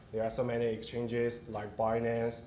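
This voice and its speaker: Over noticeable background noise and audible room echo, a man speaks at a moderate pace with a Chinese accent. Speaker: company CEO. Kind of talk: conference presentation. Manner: halting, many fillers.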